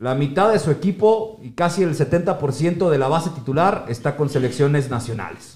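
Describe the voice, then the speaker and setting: Somewhat breathy and animated in tone, a man speaks at a moderate pace with a fairly high pitch and ordinary pitch variation. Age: 50s. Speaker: podcast host. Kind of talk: football analysis chat.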